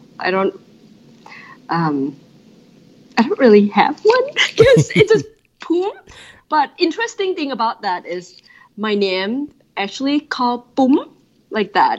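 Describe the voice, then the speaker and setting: Speaking at a fairly slow pace with long, frequent pauses, a woman with a Thai accent and a high pitch moves through very wide pitch swings. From Thailand. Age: 30s. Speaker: design director. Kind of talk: interview. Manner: animated.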